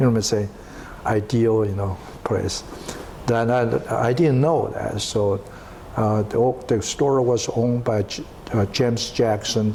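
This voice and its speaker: Long, frequent pauses break up a man's speech, which has fairly even intonation. Noticeable background noise can be heard. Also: medium pitch for a man, fairly slow pace. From China. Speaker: entrepreneur. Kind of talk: interview. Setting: at home. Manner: halting.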